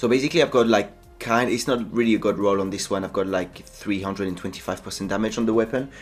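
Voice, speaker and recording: A man speaks at a fairly quick pace with a French accent. His pitch varies in an ordinary way. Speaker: gaming YouTuber. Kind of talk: gameplay tutorial. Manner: halting, with fillers.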